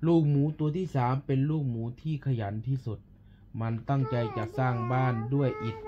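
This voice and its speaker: Ordinary pitch variation in a man's voice, with clearly audible background noise. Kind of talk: bedtime story reading. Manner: drowsy, slow bedtime reading voice. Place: home room. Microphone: phone near.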